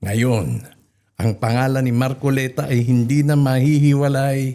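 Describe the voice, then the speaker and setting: A man at a medium pitch with a dark, mellow tone and a fairly slow pace. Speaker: news commentator. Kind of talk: news commentary with clips.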